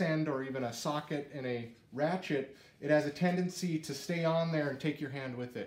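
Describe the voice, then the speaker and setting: Audible room echo surrounds a man who speaks at a moderate pace, his pitch varying in an ordinary way. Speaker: presenter. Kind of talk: tutorial. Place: garage. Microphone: camera far.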